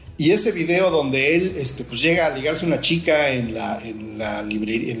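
Over noticeable background noise, a man speaks with lively intonation. Room echo is audible. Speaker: podcast host. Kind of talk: casual chat. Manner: halting.

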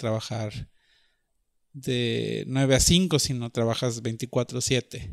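Fairly even intonation from a man at a medium pitch, over a silent background on a very clean recording. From northern Mexico (Monterrey). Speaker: artist. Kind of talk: personal storytelling monologue. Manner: hesitant, with frequent fillers.

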